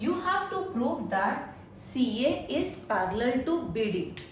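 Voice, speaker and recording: A woman speaks with very wide pitch swings. Noticeable background noise and audible room echo fill the recording. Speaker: math teacher. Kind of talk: tutorial. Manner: slow, deliberate.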